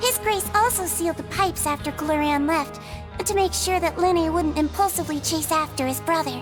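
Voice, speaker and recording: Loud music plays in the background as a woman talks at a fairly quick pace in a cartoonish character voice. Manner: gentle, caring.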